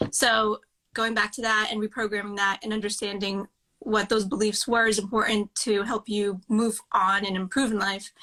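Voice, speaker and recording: A woman speaks in a bright, sharp tone at a fairly high pitch, with monotone, flat intonation. The recording is very clean, with a silent background. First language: Russian. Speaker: mindset coach. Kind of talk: casual interview. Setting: livestream.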